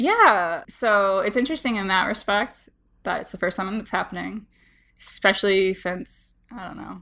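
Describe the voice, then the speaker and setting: A woman's animated, bright, sharp voice at a medium pitch, with ordinary pitch variation, big swings in loudness, a moderate pace, and a very clean recording with a silent background. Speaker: podcast host and linguist. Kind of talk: casual chat. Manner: animated, laughs often.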